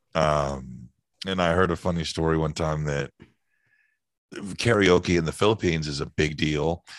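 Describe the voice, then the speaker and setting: With an American accent, the speaker goes at a moderate pace with ordinary pitch variation and long, frequent pauses against a quiet background. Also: man, very deep, low pitch for a man. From Northern California, US. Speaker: voice actor. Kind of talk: casual interview.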